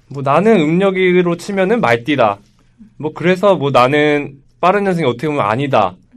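A man's fairly high voice, fairly quick and with lively intonation. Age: 20s. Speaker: podcast co-host. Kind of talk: casual debate. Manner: animated.

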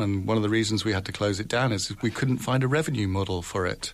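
With a British accent, a man talks in a fairly low pitch with ordinary pitch variation. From UK. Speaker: foreign correspondent, newspaper bureau chief. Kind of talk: radio panel discussion. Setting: radio studio.

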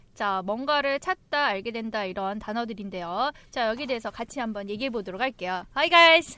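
Hardly pausing at all, a woman speaks at a moderate pace with a fairly high pitch, a bright, sharp tone and lively intonation. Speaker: podcast host. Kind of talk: casual chat, English lesson.

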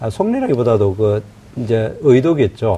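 A man speaks at a medium pitch. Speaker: opposition party spokesperson and lawmaker. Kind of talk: political debate. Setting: studio. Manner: interrupts, combative.

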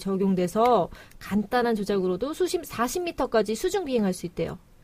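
Amid noticeable background noise, a woman with a fairly high pitch makes very wide pitch swings at a moderate pace. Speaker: podcast co-host. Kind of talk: casual chat.

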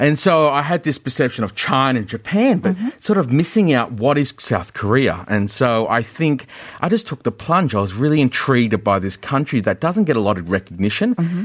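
A man with a medium pitch speaks at a fairly quick pace, with hardly any pauses. His pitch swings very widely. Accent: Australian. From Australia. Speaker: business chamber executive. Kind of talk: radio interview. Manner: hesitant, many fillers.

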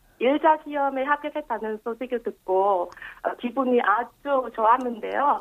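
At a fairly slow pace, a woman speaks with a high pitch in a Vietnamese accent. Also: ordinary pitch variation. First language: Vietnamese (speaking Korean). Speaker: police officer. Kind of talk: interview. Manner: halting.

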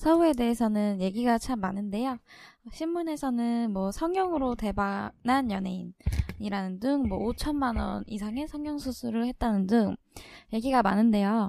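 This woman's voice has a dark, mellow tone and lively intonation. She talks at a fairly slow pace on a very clean recording with a silent background. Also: fairly high pitch for a woman. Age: 20s. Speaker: podcast co-host. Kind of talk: reading aloud.

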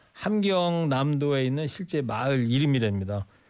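The speech is very slow, with ordinary pitch variation. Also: man. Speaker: radio host. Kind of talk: radio talk show. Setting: studio. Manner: animated.

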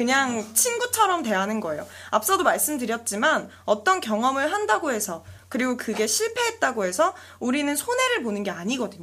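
Speech comes at a fairly quick pace. The pitch swings very widely. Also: woman, high pitch for a woman. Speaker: social venture founder, youth career speaker. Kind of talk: interview.

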